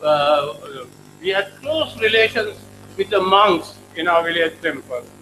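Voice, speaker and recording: With music playing in the background, a man speaks very slowly in a raised, projected voice that sits high for a man. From Sri Lanka. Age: 80s+. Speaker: professor. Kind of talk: lecture. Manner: halting.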